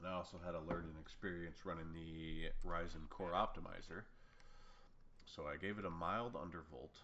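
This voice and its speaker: Over audible room echo, a man speaks at a moderate pace with a very deep, low pitch. His tone is bright and sharp. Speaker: gaming YouTuber. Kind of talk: gameplay commentary. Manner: casual, rambling with fillers.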